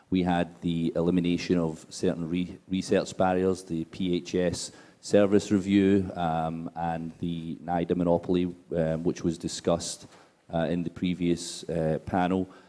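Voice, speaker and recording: A man's very deep, low voice with a Scottish accent, a dark, mellow tone and monotone, flat intonation, at a fairly slow pace, on a very clean recording with a silent background. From Scotland. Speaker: drug policy advocate. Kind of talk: panel talk. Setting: conference stage with audience.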